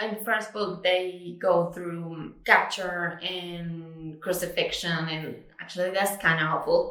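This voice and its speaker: Very slow, nearly pause-free speech from a woman with a fairly low pitch, plus audible room echo and noticeable background noise. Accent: Spanish. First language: Spanish. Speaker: book vlogger. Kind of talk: casual chat. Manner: casual, with many fillers.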